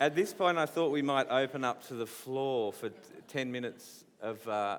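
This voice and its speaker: Pitch variation is ordinary as a man with a medium-pitched voice talks at a moderate speed. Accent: Australian. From Australia, New South Wales. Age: young. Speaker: visual artist interviewing an author. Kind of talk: on-stage festival interview. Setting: stage with audience. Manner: halting, repeats words.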